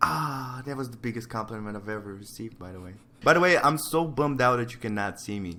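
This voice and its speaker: Medium-pitched man at a very fast pace, with lively intonation, big swings in loudness and audible room echo. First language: not English. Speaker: digital painter. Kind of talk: casual chat. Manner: casual, hesitant.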